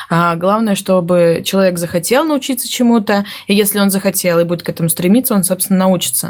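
Noticeable background noise fills the clip. Through it, a woman speaks at a very fast pace. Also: medium pitch for a woman, ordinary pitch variation, very even loudness. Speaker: project manager. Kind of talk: casual chat. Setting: studio.

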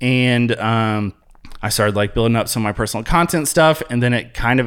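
With an American accent, a man has an unremarkable speaking voice at medium pitch, talking at a fairly quick pace with ordinary pitch variation in a very clean recording with a silent background. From US Midwest, Columbus, Ohio. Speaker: social media content creator. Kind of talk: casual interview chat.

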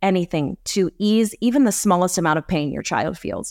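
A woman's unremarkable speaking voice at medium pitch with ordinary pitch variation, on a very clean recording with a silent background and a dry, close sound free of echo. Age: 30s. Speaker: journalist and podcast host. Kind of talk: casual interview.

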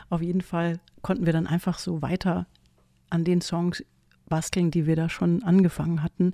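Dark, mellow tone at a moderate pace, monotone and flat, with long, frequent pauses and a dry, close sound with no echo. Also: woman, fairly low pitch for a woman. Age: 50s. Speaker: singer-songwriter. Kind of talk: interview.

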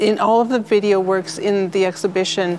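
Amid noticeable background noise, a woman speaks at a fairly slow pace. Her pitch is medium and her intonation fairly even. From Ontario, Canada. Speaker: curator. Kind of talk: interview. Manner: halting, many repetitions.

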